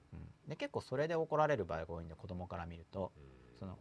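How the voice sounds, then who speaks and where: A man is speaking. His pitch swings very widely. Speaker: podcast host. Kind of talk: casual chat. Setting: studio. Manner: noisy, lively.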